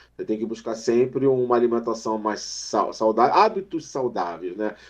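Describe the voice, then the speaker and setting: Noticeable background noise sits behind this man. He talks at a moderate pace. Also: medium pitch for a man, ordinary pitch variation. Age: 50s. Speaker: mental health specialist. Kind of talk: casual chat. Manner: halting.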